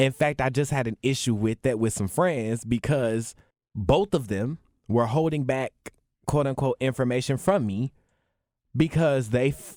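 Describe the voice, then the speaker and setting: A man of medium pitch talks at a moderate pace with ordinary pitch variation, sounding dry and close with no echo on a very clean, silent recording. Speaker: podcast co-host. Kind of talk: casual chat. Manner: animated, passionate.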